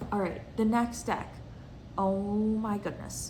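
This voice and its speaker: In a room with audible echo, a woman speaks at a fairly slow pace, medium in pitch, somewhat breathy, with fairly even intonation. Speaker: tarot reader and video creator. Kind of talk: casual show-and-tell vlog.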